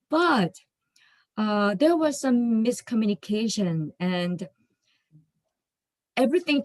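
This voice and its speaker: A woman with a non-native accent speaks at a very slow pace in a dry, close sound with no echo. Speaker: finance office worker, class participant. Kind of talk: class discussion, personal story. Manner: hesitant, many fillers.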